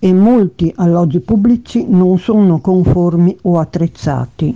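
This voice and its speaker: This woman's dark, mellow voice sits fairly low and moves at a fairly slow pace, with ordinary pitch variation. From Venice, Italy. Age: 70s. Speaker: local election candidate. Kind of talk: campaign statement.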